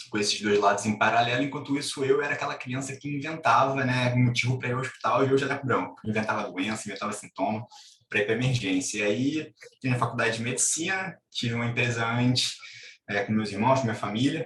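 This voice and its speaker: In a Rio de Janeiro accent, a man talks at a very fast pace with ordinary pitch variation. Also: medium pitch for a man. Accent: Carioca (Rio de Janeiro) Brazilian Portuguese. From Brazil, Rio de Janeiro. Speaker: doctor and entrepreneur. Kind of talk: interview. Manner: casual.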